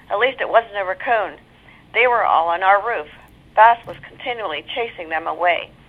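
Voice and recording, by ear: The clip is someone reading aloud in a natural voice. The pitch varies in an ordinary way.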